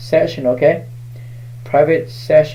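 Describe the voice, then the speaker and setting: This man's voice is fairly high in pitch, with a dark, mellow tone. Room echo can be heard. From Laos. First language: Hmong. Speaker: shaman, spiritual reader. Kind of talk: live-stream spiritual reading. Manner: halting.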